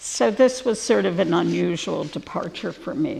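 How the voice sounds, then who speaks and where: Speaking fairly slowly, a woman uses a fairly low pitch with vocal fry. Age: 70s. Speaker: artist. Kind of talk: public talk. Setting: gallery with audience.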